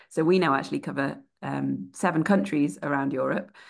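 Against a quiet background, a woman with vocal fry speaks at a moderate pace in a very deep, low pitch. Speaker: PR professional and podcast co-host. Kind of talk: podcast panel discussion.

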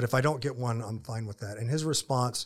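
With an American accent, a man speaks at a very fast pace with a medium pitch and a somewhat breathy voice. The recording is very clean with a silent background. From Florida. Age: 50s. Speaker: ministry founder and author. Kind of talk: casual interview chat. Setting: studio.

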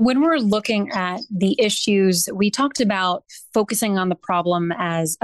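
In a dry, close sound with no echo, a normal speaking voice moves at a fairly slow pace. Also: woman. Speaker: news reporter. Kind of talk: interview.

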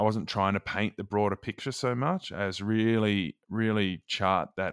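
Speaking at a fairly slow pace with an Australian accent, a man is heard in a dry, close sound with no echo on a very clean recording against a silent background. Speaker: author and former youth radio host. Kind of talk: interview.

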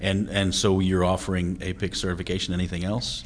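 His voice is very deep and low. This man speaks with vocal fry. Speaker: podcast host. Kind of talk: interview.

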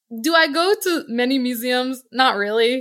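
On a very clean recording with a silent background, a woman with a high pitch and a bright, sharp tone uses a raised, projected voice with ordinary pitch variation. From Connecticut, US. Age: 30s. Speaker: travel company director. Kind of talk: interview.

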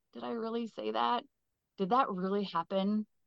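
Her pitch is medium as a woman speaks with an Upper Midwest accent. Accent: Upper Midwest American. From southwestern Minnesota. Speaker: keynote speaker. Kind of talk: casual interview.

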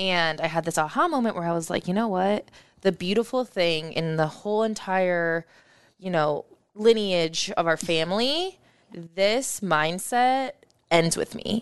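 With an American accent, a woman speaks fairly slowly at a medium pitch, her pitch varying in an ordinary way. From Omaha, Nebraska, US Midwest. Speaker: community organizer and talk show host. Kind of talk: casual interview.

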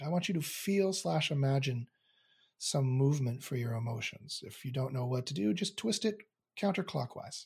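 A somewhat breathy man speaks with a Canadian accent at a fairly high pitch and a fairly quick pace. His intonation is lively, and the recording is very clean with a silent background. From Canada. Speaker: philosopher and SEO teacher. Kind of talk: guided meditation; interview conversation. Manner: halting, repeats words.

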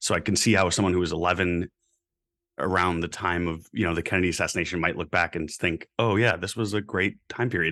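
A man with an American accent speaks very fast at a very deep, low pitch, his tone bright and sharp. His intonation stays fairly even against a quiet background. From Florida, Tampa area. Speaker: podcast panelist. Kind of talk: casual chat.

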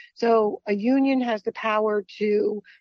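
A woman with an unremarkable speaking voice talks at a fairly high pitch with ordinary pitch variation. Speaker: financial analyst. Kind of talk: radio interview.

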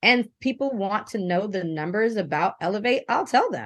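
Against a quiet background, a woman uses an ordinary speaking voice with a fairly high pitch. She talks fairly quickly with ordinary pitch variation. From Japan, American military family. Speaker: entrepreneur. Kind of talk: interview.

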